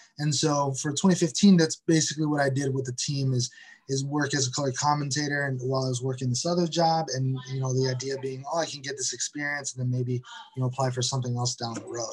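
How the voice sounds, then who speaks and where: A fairly high male voice with an American accent, very fast with hardly any pauses, fairly even intonation and noticeable background noise. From Detroit, Michigan, US Midwest. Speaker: soccer club media manager. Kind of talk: interview. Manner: halting, many repetitions and fillers.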